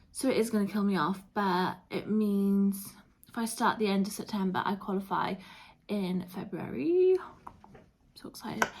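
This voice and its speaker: A woman of medium pitch speaks at a moderate pace with a British accent. Her intonation stays fairly even, with long, frequent pauses. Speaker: vlogger. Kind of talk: casual vlog chat. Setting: at home, flat.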